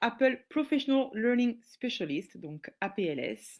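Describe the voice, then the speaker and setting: A woman speaks with a southwestern French accent against a quiet background. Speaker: teacher and educational trainer. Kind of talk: webinar presentation. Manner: hesitant, many filler sounds.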